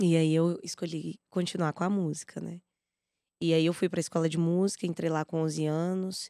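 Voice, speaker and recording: A woman speaks in a fairly low, dark, mellow voice with monotone, flat intonation. The recording is very clean and silent in the background, the sound dry and close with no echo. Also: moderate pace. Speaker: singer and music educator. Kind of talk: podcast interview.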